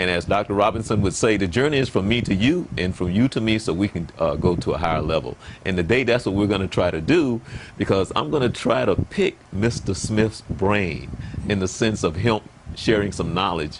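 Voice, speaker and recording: With noticeable background noise behind him, a man with a very deep, low voice talks at a fairly quick pace with lively intonation. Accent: American. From US South. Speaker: pastor and interview show host. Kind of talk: interview. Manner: halting.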